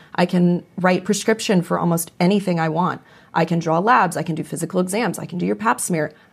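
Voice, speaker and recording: With an American accent, a woman speaks at a fairly low pitch in a somewhat breathy voice. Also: ordinary pitch variation, fairly quick pace. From Las Vegas, Nevada. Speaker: naturopathic doctor. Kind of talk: interview.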